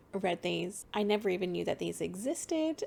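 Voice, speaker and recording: Soft-spoken and with vocal fry, a woman talks on a very clean recording over a silent background. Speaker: let's play gamer. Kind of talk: casual talk to camera.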